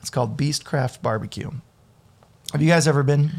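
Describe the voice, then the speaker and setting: A somewhat breathy man's voice, fairly high in pitch with ordinary pitch variation. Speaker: self-taught cook and restaurant worker. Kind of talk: casual interview chat. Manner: articulate storyteller.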